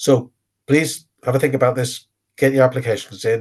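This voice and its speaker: A man delivers his words at a moderate speed, somewhat breathy, keeping his intonation fairly even. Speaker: business network organiser presenting a programme. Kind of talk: webinar presentation with Q&A. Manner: halting, many fillers.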